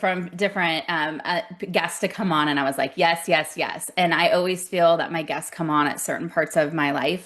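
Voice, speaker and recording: Here a woman speaks with an American accent in a fairly low pitch. It is an ordinary speaking voice at a moderate pace. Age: 40s. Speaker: podcast host. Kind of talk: interview conversation.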